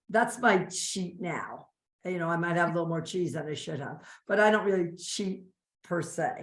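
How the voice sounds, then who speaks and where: A woman's fairly low-pitched voice in an animated tone, with audible room echo. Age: 60s. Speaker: interview guest sharing diet success story. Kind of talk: casual interview.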